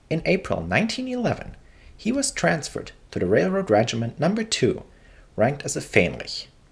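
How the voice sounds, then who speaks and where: In a German accent, the speaker talks at a fairly quick pace with very wide pitch swings. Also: man, high pitch for a man. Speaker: history narrator. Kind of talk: scripted narration.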